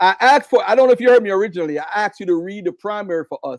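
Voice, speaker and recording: A man's animated, very fast delivery with a Jamaican accent and lively intonation, in a dry, close sound with no echo. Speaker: debate guest. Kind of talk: heated debate.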